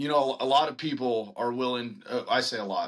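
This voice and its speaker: This man's voice has a bright, sharp tone and sits at a medium pitch. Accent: American. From Texas, Lake Dallas near Denton. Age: 30s. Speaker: singer-songwriter and band frontman. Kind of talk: casual interview chat.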